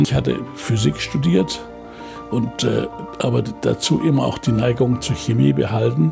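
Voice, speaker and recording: A man speaks at a fairly slow pace over clear music in the background. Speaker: Nobel laureate chemist. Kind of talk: interview answer. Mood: warm, reflective, smiling. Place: home room.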